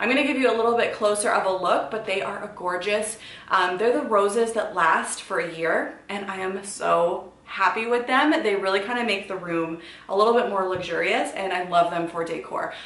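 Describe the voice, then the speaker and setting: Audible room echo surrounds a woman who speaks at a moderate pace with ordinary pitch variation. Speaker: fashion vlogger. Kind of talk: casual vlog chat. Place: home room. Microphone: camera far.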